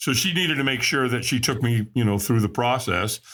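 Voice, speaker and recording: A man's bright, sharp, animated tone. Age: 60s. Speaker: recovering alcoholic, motivational coach. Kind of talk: interview storytelling.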